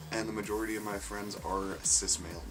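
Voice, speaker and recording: A man talks at a moderate pace and fairly low pitch, with music in the background and audible room echo. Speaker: vlogger. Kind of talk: casual vlog monologue.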